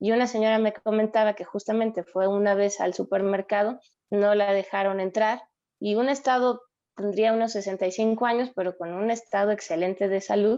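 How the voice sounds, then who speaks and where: A woman's medium-pitched voice with a dark, mellow tone, monotone and flat, at a moderate pace over a quiet background. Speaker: psychologist. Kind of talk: interview.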